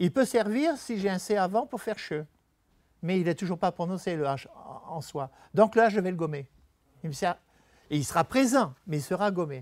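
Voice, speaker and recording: A man with a high pitch and lively intonation, at a moderate pace with long, frequent pauses, over a quiet background. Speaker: retired typography and calligraphy teacher; presenter. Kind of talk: talk with slides to an audience. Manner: halting, with many hesitations. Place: meeting room. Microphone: lapel.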